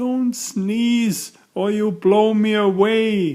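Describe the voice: Very slow delivery in a put-on character voice, its pitch fairly high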